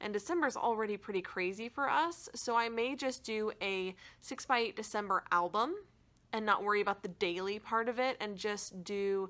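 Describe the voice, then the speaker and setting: Fairly high female voice, lively in its intonation. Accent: American. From Michigan. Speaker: crafting YouTuber. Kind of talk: casual chat. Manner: chatty.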